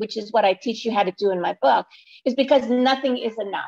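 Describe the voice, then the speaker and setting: Here a woman talks at a fairly quick pace in a New York accent. Her fairly high pitch shows ordinary variation, and the sound is dry and close with no echo. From Brooklyn, New York. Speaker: weight-loss coach and author. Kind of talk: interview.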